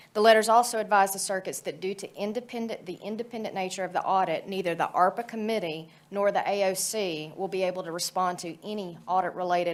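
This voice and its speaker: A woman's medium-pitched voice at a very fast pace, with fairly even intonation. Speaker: judge, committee chair. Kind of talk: formal committee report. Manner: loud; formal.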